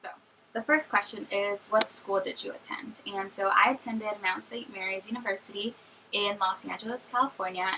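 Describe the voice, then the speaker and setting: Fairly quick in pace, a woman speaks in a plain, everyday voice. Her pitch is medium, with ordinary pitch variation. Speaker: YouTuber, recent college graduate. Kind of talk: casual vlog Q&A.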